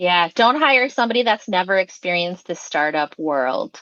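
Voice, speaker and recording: A woman speaks in a bright, sharp tone with a Midwestern US accent. The sound is dry and close with no echo, over a quiet background. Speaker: startup marketing consultant and podcast host. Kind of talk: podcast interview chat. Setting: live session.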